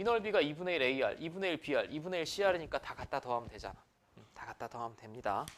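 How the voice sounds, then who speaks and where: A man's fairly high voice at a very fast pace, with very wide pitch swings and big swings in loudness. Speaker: math teacher. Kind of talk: lecture.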